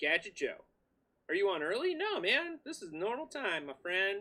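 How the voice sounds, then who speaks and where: A man with an extremely high pitch, a bright, sharp tone and a raised, projected voice speaks at a fairly slow pace. His pitch swings very widely. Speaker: livestream host of a PC modding channel. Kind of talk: casual livestream chat. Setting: home basement livestream. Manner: loud; animated.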